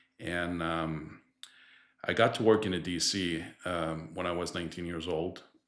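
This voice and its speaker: A man's very deep, low voice with a Quebec accent, fairly even intonation and a moderate pace, in a room with audible echo. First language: French. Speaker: distribution director. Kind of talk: podcast interview.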